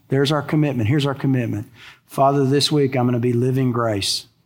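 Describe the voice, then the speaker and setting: Here is a man with a Texan accent and a medium pitch. He keeps a moderate pace and fairly even intonation. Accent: Texan American English. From Texas. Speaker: pastor. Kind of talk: sermon. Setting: church.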